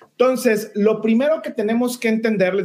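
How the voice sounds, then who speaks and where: This is a man speaking. His pitch is high. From Mexico, Saltillo, Coahuila. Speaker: lawyer and diversity educator. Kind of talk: live-streamed interview. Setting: live video stream. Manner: halting, many fillers.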